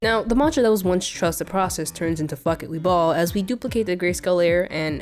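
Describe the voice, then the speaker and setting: With music in the background, a woman speaks at a fairly low pitch. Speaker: digital artist. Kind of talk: comedic art video narration.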